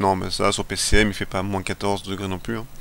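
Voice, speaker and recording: Speaking fairly slowly, a man delivers his words. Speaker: gaming video creator. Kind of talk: let's play commentary. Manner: halting, stumbling over words; casual, animated.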